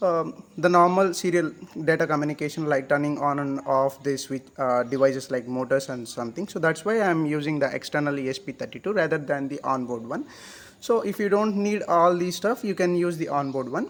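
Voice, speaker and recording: A man with an Indian accent, fairly high in pitch, at a fairly quick pace with ordinary pitch variation. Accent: Indian English, Telugu. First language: Telugu. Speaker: hobbyist electronics maker. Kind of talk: tutorial. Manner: halting.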